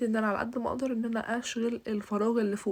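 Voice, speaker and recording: At a fairly quick pace, a woman talks in a fairly high, somewhat breathy voice with monotone, flat intonation. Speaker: bridal home decorator, YouTuber. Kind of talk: home tour vlog. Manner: hesitant, with fillers.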